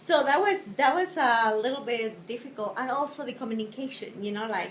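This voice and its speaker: Over noticeable background noise, a woman with a Spanish accent talks at a fairly quick pace and high pitch with lively intonation. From Spain. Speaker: interviewee, wife and mother. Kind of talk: interview. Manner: halting.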